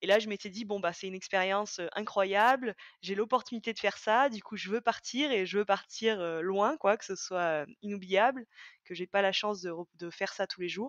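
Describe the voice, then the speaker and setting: In a slight Auvergne accent, a woman at medium pitch talks at a moderate pace with ordinary pitch variation and big swings in loudness, the sound dry and close with no echo against a quiet background. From France, Auvergne (Haute-Loire, near Brioude). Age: 20s. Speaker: former business student, school staff member. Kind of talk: podcast interview. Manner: hesitant, many fillers.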